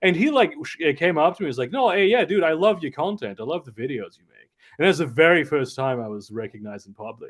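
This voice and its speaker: A man with a fairly high pitch and vocal fry talks at a very fast pace, with very wide pitch swings and big swings in loudness. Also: hardly any pauses. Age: 30s. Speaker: content creator. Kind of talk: podcast interview. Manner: halting.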